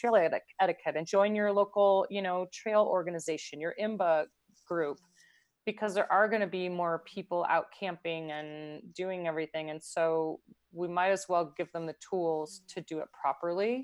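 Over a quiet background, a woman with an ordinary speaking voice talks at a moderate pace and medium pitch, with ordinary pitch variation, big swings in loudness and a dry, close sound with no echo. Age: 50s. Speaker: pro endurance athlete. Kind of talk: interview.

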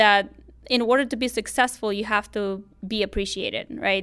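The speaker has a Romanian accent and fairly even intonation at a moderate pace. The recording is very clean, with a silent background. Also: woman. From Moldova. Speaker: high school teacher. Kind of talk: interview.

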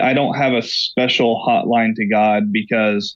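A man with an American accent speaks in an unremarkable speaking voice at a medium pitch. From Oklahoma. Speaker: pastor. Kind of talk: interview.

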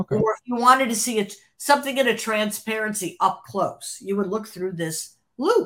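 A woman with an American accent and an ordinary speaking voice talks at a fairly high pitch with ordinary pitch variation. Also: moderate pace. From US Midwest, Cleveland, Ohio. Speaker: former album cover designer. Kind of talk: interview storytelling.

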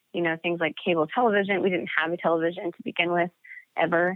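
A woman speaks in a fairly low pitch with fairly even intonation. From Montana. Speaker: teacher. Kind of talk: interview. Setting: phone call. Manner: halting, many fillers.

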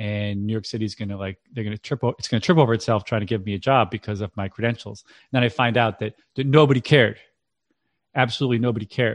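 Speaking very fast in an American accent, a man with a medium-pitched voice and ordinary pitch variation sounds dry and close with no echo over a quiet background. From central Massachusetts, Worcester. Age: 40s. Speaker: parenting coach and author. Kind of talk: interview.

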